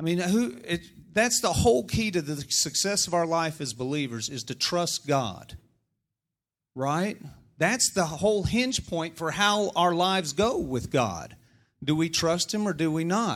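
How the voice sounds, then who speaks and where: A man with an American accent speaks at a high pitch and a fairly slow pace, his tone animated and his intonation lively. The recording is very clean, with a silent background. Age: middle-aged. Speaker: politician. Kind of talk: sermon. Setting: church.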